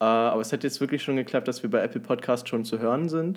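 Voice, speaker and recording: A man's unremarkable speaking voice at a fairly quick pace, with ordinary pitch variation. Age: young. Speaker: podcast co-host. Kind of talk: casual chat.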